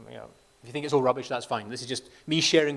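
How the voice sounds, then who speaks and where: A Scottish accent comes through on a very clean recording with a silent background. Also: man. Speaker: company chief medical officer. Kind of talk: conference presentation. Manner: fast; repetitive false starts.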